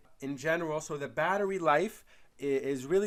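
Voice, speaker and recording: On a very clean recording with a silent background, a man speaks at a fairly quick pace with ordinary pitch variation. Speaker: product reviewer. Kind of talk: product review video. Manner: fast; casual, with frequent fillers and repetitions.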